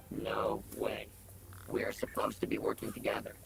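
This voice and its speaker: This is a raspy, put-on character voice at a moderate pace. Light background noise can be heard. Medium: video game. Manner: sarcastic, wisecracking.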